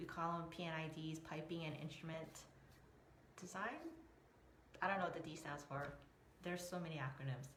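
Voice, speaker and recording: Speaking at a fairly quick pace with long, frequent pauses, a woman with a very deep, low pitch keeps a fairly even intonation, with audible room echo and noticeable background noise. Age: 40s. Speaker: emotional resilience coach. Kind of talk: live stream talk. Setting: Facebook live video. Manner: casual, rambling with fillers.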